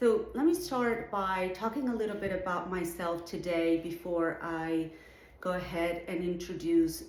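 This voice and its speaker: A woman with a Venezuelan accent speaks at a fairly low pitch. Noticeable background noise and audible room echo fill the recording. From Venezuela, Caracas. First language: Spanish. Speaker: artist and art educator, show juror. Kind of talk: recorded address to students.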